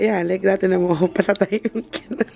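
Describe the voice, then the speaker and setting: Noticeable background noise behind a woman at medium pitch, moderate in pace, with ordinary pitch variation. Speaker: beauty vlogger. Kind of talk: casual vlog chat.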